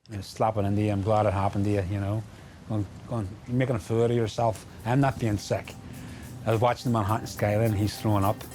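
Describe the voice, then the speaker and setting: A man with a Belfast accent talks at a very fast pace over background music. His fairly low pitch stays monotone and flat. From Belfast, Northern Ireland. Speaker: interviewee, former program participant. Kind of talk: documentary interview.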